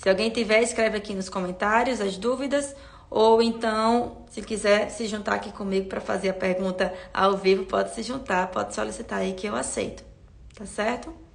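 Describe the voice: A woman uses a raspy, put-on character voice at a medium pitch with fairly even intonation. She keeps a moderate pace over light background noise.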